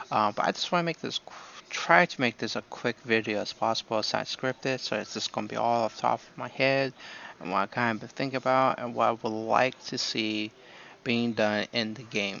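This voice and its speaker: The soft-spoken voice goes at a fairly quick pace with ordinary pitch variation. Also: man, medium pitch for a man, big swings in loudness. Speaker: gaming YouTuber. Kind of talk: unscripted casual commentary. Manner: hesitant, many fillers.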